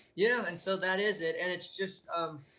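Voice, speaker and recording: A high-pitched man speaks at a moderate pace against noticeable background noise. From US Midwest, Gary, Indiana. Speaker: abuse survivor and advocate. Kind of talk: interview testimony. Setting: video call. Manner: halting.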